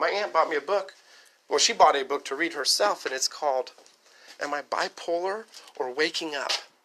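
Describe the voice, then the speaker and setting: A man's high, bright and sharp voice, animated in tone, with ordinary pitch variation and long, frequent pauses. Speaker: vlogger. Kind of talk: casual rant to camera. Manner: fast.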